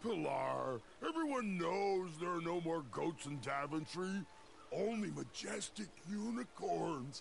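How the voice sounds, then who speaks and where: Someone puts on a character voice at a fairly slow pace, with clear background noise behind it. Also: man, high pitch for a man. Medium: video game. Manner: slow, simple.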